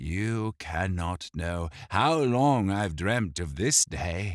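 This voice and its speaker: A man puts on a character voice with a very deep, low pitch. He speaks very slowly. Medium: read story. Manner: warm, wry, knowing.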